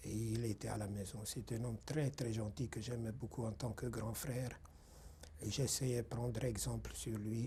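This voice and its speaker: At a fairly slow pace with long, frequent pauses, a man speaks at medium pitch in a dark, mellow tone with vocal fry. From Hungary. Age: 60s. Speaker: Holocaust survivor. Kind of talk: testimony interview. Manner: halting, with hesitations.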